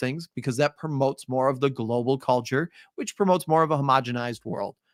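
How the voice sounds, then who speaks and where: A man talks very fast with a Midwestern accent, his pitch fairly high with ordinary variation. The recording is very clean and dry, close with no echo and a silent background. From US Midwest. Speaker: teacher. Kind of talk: live review lecture. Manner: casual, filler-heavy.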